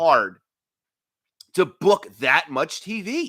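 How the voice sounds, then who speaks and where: A man speaks very slowly in a raised, projected voice, high-pitched and bright and sharp in tone, with very wide pitch swings. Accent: American. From New York. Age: 30s. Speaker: wrestling talk show host. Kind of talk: live stream chat. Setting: home apartment live stream.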